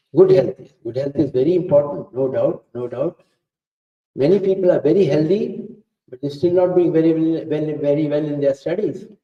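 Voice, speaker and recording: A man with an Indian accent speaks at a moderate pace. His pitch is fairly high, with ordinary variation. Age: 70s. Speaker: professor. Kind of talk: talk to students. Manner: interactive, coaxing questions.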